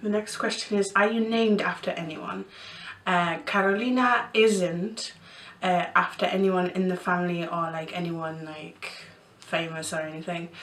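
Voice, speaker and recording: A woman speaks at a medium pitch with ordinary pitch variation, while noticeable background noise and audible room echo fill the recording. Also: moderate pace. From Poland (Bytom, near Katowice), moved to East Yorkshire at 11. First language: Polish. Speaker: vlogger. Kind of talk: casual Q&A vlog. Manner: hesitant, many fillers.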